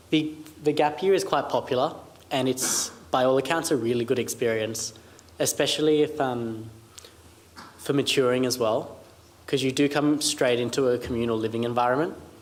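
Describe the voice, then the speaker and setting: Speaking in an Australian accent, a man keeps a medium pitch, fairly even intonation and very even loudness at a moderate pace, with long, frequent pauses. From Australia, Sydney. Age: young. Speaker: military academy cadet. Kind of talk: Q&A panel answers.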